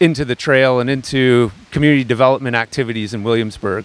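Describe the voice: A man talks at a moderate pace. His tone is clear and smooth.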